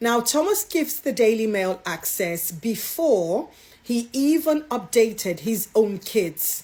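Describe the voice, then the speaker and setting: Very slowly and somewhat breathily, a woman talks at a fairly high pitch with very wide pitch swings. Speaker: royal news commentator. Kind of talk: vlog commentary.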